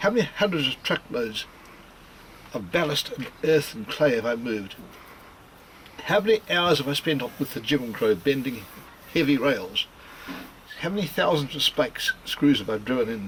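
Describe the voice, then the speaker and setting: Noticeable background noise sits behind a man with a New Zealand accent and a fairly high pitch. He moves at a moderate pace with very wide pitch swings and long, frequent pauses. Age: 70s. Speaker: potter and railway builder. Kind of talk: documentary interview.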